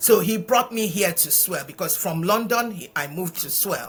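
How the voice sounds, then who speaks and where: A woman with a Nigerian accent at a fairly slow pace, over noticeable background noise. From Nigeria, eastern (Imo State). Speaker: charity founder. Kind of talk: interview. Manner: hesitant, with repetitions.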